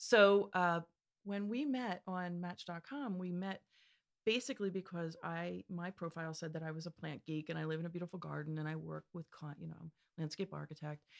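A woman with an American accent talks in a normal speaking voice, fairly low in pitch with ordinary pitch variation. The sound is dry and close, with no echo. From Pennsylvania. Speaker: landscape architect. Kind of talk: casual interview.

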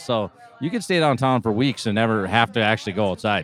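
A man's medium-pitched voice in a Minnesotan accent, very fast, with music in the background. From northern Minnesota. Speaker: guest taco reviewer. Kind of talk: casual chat.

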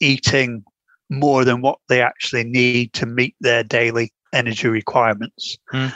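A man with an ordinary speaking voice talks at a fairly slow pace and medium pitch, the sound dry and close with no echo. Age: 60s. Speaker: retired university professor and author. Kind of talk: interview, explanatory.

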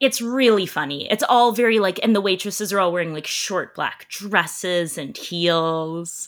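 An ordinary speaking voice with a Canadian accent moves at a moderate pace with hardly any pauses and ordinary pitch variation, on a very clean recording with a silent background. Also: woman, medium pitch for a woman. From Canada. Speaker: entertainment journalist. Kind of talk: casual chat.

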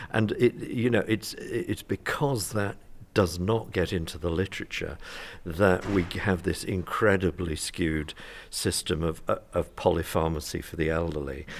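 A very deep, low male voice in a British accent, with ordinary pitch variation and a fairly slow pace, in a very clean recording with a silent background. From UK. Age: 60s. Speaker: retired family doctor. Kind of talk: panel discussion. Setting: conference.

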